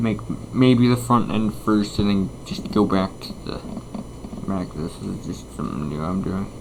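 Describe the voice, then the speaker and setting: Over noticeable background noise and audible room echo, a man speaks at a fairly slow pace with a fairly low pitch. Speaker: gaming YouTuber. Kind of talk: gameplay commentary. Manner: casual, hesitant with fillers.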